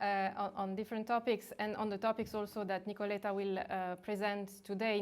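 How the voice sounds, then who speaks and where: A woman's medium-pitched voice at a fairly quick pace, with a non-native accent. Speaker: academic moderator. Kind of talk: seminar introduction. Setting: academic seminar, in person and online. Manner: halting, many fillers.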